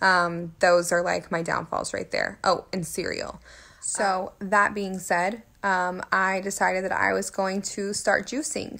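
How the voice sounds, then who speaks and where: A woman with an unremarkable speaking voice talks at a medium pitch and fairly slow pace, with fairly even intonation, on a very clean recording with a silent background. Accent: American. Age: 20s. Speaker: fitness vlogger. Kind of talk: personal vlog storytelling. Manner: casual with frequent fillers.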